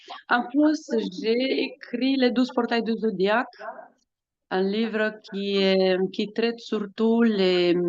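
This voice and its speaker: This speaker talks at a very slow pace in a Romanian accent. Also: woman. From Romania, Bucharest. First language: Romanian (speaking French). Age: 40s. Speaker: astrologer and author. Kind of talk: podcast interview. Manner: hesitant, many fillers.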